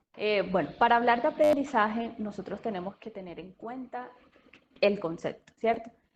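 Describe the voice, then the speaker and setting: At a moderate pace, a woman with a strong Colombian Caribbean accent speaks at a fairly high pitch with ordinary pitch variation and big swings in loudness. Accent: Colombian coastal (costeño), strong. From Colombian Caribbean coast (Sincelejo, Sucre). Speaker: speech therapist. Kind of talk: lecture.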